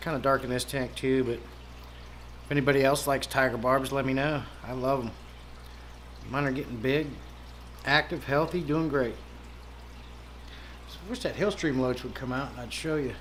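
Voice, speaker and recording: In an American accent, a man speaks at medium pitch with fairly even intonation, long, frequent pauses and big swings in loudness, with audible room echo. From Pennsylvania, US. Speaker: aquarium hobbyist livestreamer. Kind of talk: casual livestream chat. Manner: fast.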